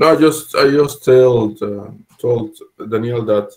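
A man is speaking. He has a plain, everyday voice. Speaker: meetup attendee. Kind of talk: Q&A. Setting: video call.

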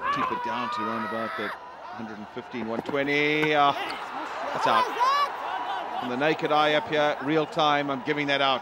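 Loud background noise surrounds a man speaking at a fairly slow pace. His pitch is fairly high. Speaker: cricket commentator. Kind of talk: live sports commentary. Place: booth.

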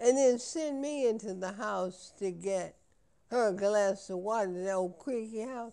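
Natural reading, with pitch that varies in an ordinary way

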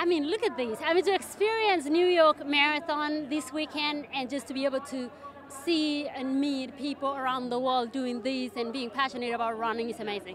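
At high pitch, a woman talks at a moderate pace with ordinary pitch variation, the sound dry with no echo and light background noise. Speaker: interviewee. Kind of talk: interview answer. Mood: upbeat, enthusiastic. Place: street. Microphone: handheld.

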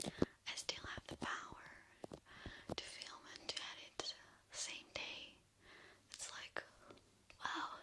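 A woman speaks at a very slow pace with long, frequent pauses. Loud background noise runs underneath. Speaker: ASMR creator. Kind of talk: casual soft-spoken chat. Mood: happy, cheerful. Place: home room. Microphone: studio mic.

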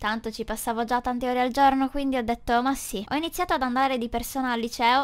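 A woman talks fairly quickly in an ordinary speaking voice at a fairly high pitch. The recording is very clean, with a silent background. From northern Italy, Brescia. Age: 20s. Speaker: gaming YouTuber. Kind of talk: personal storytelling narration.

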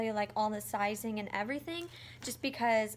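With light background noise, the speaker moves at a fairly quick pace with ordinary pitch variation. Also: woman. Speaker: vlogger. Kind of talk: casual vlog chat. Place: kitchen. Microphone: phone near.

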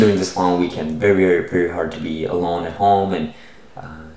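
A man with a very deep, low voice speaks at a fairly quick pace in a flat monotone, with audible room echo. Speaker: science investing channel host. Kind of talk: casual vlog chat. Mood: relaxed, friendly. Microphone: webcam.

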